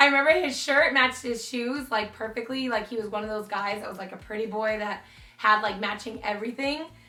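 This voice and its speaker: Amid noticeable background noise and audible room echo, a woman with a fairly high voice speaks at a fairly quick pace in an animated tone, with big swings in loudness and ordinary pitch variation. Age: 20s. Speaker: beauty YouTuber. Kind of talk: casual Q&A vlog.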